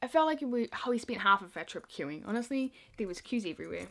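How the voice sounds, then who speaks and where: She is a woman with a New Zealand accent. Her pace is very fast. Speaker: YouTuber. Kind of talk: casual vlog storytelling. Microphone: phone near.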